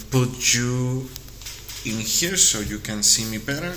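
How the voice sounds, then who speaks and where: Man with a Spanish accent and medium pitch, amid noticeable background noise and audible room echo. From Mexico. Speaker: artist and vlogger. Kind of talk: casual vlog monologue. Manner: halting, with fillers.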